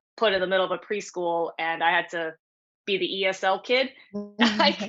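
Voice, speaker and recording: A woman talks at a moderate pace and medium pitch. She has a normal speaking voice with ordinary pitch variation. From New York City. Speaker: martial artist. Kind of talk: casual chat. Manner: casual, filler-heavy speech.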